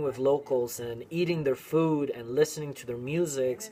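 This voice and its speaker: A man talks at a moderate pace with a medium pitch and fairly even intonation. Music plays in the background. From Venezuela. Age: 20s. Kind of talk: casual talk to camera.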